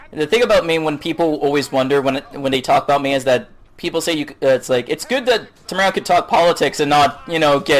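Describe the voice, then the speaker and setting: A man races along at a very fast pace with a fairly high pitch. Noticeable background noise is present. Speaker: gaming YouTuber. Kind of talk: casual chat. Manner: loud; halting.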